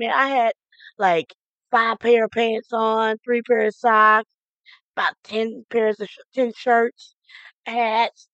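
A woman's normal speaking voice, fairly high in pitch, with an American accent at a fairly slow pace, in a dry, close sound with no echo. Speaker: radio DJ. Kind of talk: radio show host patter between music. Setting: radio studio broadcast. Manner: upbeat, chatty.

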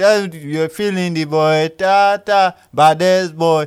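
A man talks with a high-pitched voice. The recording is very clean, with a silent background. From Nigeria. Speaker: podcast host. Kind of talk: casual chat, interview.

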